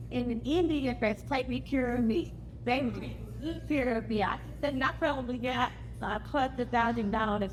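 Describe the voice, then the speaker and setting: Her pace is moderate as a woman talks. The room gives audible echo. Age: 60s. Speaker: family reunion attendee. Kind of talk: casual talk to a gathering. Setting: family reunion gathering.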